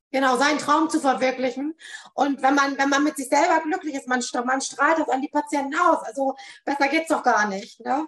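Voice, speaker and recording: A high-pitched woman at a moderate pace, with fairly even intonation. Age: 40s. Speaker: psychotherapy practitioner. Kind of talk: interview. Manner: frequent filler hesitations.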